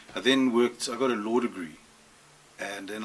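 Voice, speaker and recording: A man talks very fast while noticeable noise sounds in the background. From South Africa, Johannesburg. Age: 50s. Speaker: record store owner. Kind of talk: interview. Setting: record store.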